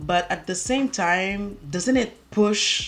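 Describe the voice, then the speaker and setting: A woman's lively intonation in a French accent. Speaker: beauty YouTuber. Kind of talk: makeup tutorial chit chat. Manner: halting.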